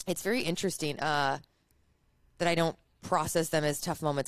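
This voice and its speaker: In a very clean recording with a silent background, a woman with a Chicago accent talks at a fairly quick pace, her pitch very deep and low with ordinary variation. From US Midwest, Chicago. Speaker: entrepreneur and influencer. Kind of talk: interview chat.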